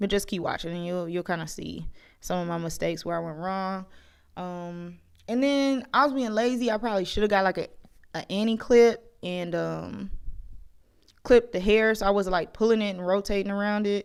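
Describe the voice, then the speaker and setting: Very clean recording with a silent background of a woman, a normal speaking voice, medium pitch, ordinary pitch variation, moderate pace. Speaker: beauty vlogger. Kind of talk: casual voiceover narration of tutorial. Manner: chatty, self-deprecating.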